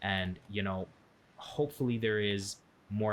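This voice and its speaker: A man with a Canadian accent speaks at a moderate pace in a fairly low voice. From Canada. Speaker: football podcast co-host and streamer. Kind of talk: casual chat. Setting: live stream with chat. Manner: animated.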